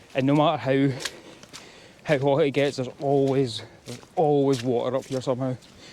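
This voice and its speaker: The delivery is fairly quick but broken by long, frequent pauses, in a monotone, flat intonation. Noticeable background noise sits underneath. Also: man, fairly high pitch for a man. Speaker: hill walking vlogger. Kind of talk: casual vlog narration while hiking. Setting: outdoors on hills.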